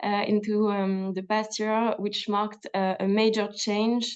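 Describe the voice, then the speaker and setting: In a French accent, a woman speaks at a medium pitch and a fairly slow pace. Her intonation is monotone and flat. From France. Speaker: government health official. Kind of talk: webinar presentation. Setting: video call. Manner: halting with many fillers.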